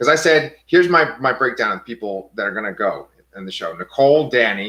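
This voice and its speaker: With an American accent, the speaker talks at a fairly quick pace in a bright, sharp tone, the pitch swinging very widely. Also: man. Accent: New York accent, comes out at times. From New York, Staten Island. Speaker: TV show discussion podcaster. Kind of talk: casual chat.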